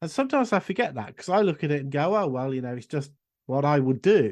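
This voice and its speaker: Speaking with an English accent, a man uses a fairly high pitch and lively intonation at a fairly quick pace. The background is quiet. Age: 60s. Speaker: esoteric school director and magic teacher. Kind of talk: casual interview chat.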